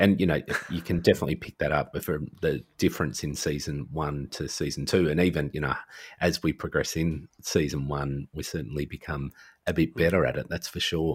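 At a fairly quick pace, a man with a very deep, low pitch and vocal fry speaks with fairly even intonation on a very clean recording with a silent background. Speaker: podcaster and social worker. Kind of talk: casual chat.

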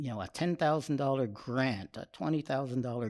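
The recording is very clean, with a silent background. A man speaks in a dark, mellow tone with an American accent. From Austin, Texas. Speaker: film director. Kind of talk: casual interview.

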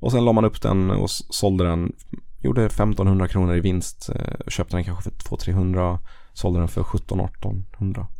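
A man's very deep, low voice with a dark, mellow tone, fairly even intonation and a fairly slow pace. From Blekinge, southern Sweden. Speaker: personal finance podcaster and investing educator. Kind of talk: casual interview.

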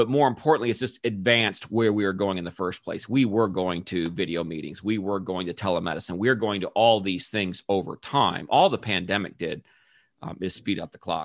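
Fairly low pitch from a man in an ordinary speaking voice, with ordinary pitch variation and a fairly quick pace, on a very clean recording with a silent background. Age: 50s. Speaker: sales consultant. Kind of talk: casual business discussion.

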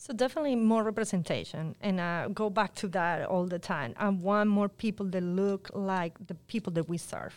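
A woman talks at medium pitch and a moderate pace, with ordinary pitch variation. She leaves hardly any pauses, and the recording is very clean with a silent background. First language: Spanish. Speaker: public health outreach worker. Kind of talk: interview.

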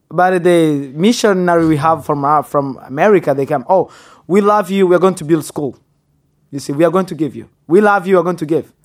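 Fairly quick, high-pitched male speech with ordinary rises and falls in pitch. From Congo and Rwanda. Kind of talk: casual interview chat.

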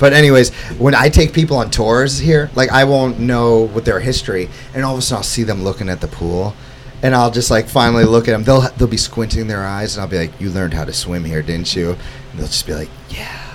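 Noticeable background noise sits behind a man at a medium pitch. He talks at a fairly quick pace with lively intonation. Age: 30s. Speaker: summer camp owner and podcast host. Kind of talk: casual chat. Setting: studio. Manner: animated.

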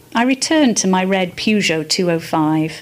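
With noticeable background noise behind her, a woman talks at a medium pitch with very wide pitch swings. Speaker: amateur writer. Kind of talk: reading aloud. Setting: arts festival event.

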